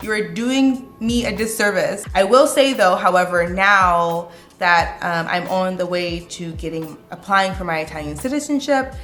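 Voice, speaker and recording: A woman with an American accent, lively intonation and a moderate pace, amid audible room echo. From United States. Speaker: vlogger. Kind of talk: casual vlog talk. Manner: conversational, animated.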